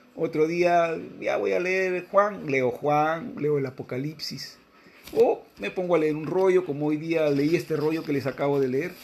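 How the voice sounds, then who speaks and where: A man speaks at a fairly slow pace with a fairly high pitch and ordinary pitch variation. Noticeable background noise runs under his voice. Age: 60s. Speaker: religious teacher. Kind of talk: religious reading and commentary.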